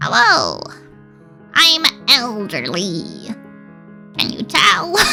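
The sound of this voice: A croaky, fairly high put-on character voice speaks at a very slow pace. Clear music plays in the background.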